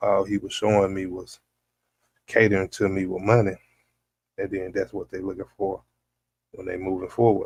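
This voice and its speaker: A man's breathy-edged voice, somewhat breathy, monotone and flat, with big swings in loudness, long, frequent pauses, and a dry, close sound with no echo. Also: fairly low pitch for a man, moderate pace. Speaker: podcast host. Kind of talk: casual chat.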